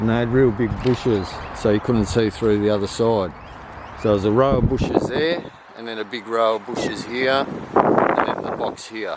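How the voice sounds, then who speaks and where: A man with an Australian accent talks at a moderate pace, his intonation fairly even. Noticeable background noise runs under his voice. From Australia, Victoria. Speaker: vlogger telling life story. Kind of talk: personal testimony. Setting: outdoors at old high school. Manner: casual, filler-heavy.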